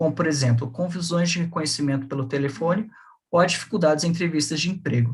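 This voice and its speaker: Talking at a fairly quick pace, a man uses a high pitch with ordinary variation. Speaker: graduate researcher. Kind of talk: academic seminar presentation.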